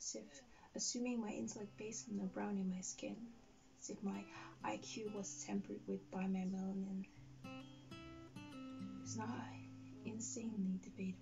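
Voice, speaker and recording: A woman at a moderate pace, with long, frequent pauses and clear music in the background. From Netherlands. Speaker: spoken word poet. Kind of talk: slam poetry performance. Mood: earnest, critical. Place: home room.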